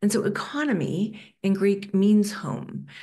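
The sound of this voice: With a dark, mellow tone and lively intonation, a woman talks at a fairly slow pace and a medium pitch.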